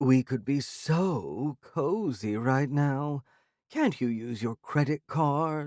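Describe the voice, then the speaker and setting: A man talks in a put-on character voice. His pace is very slow. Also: fairly high pitch for a man. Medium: read story. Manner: snarky, dismissive.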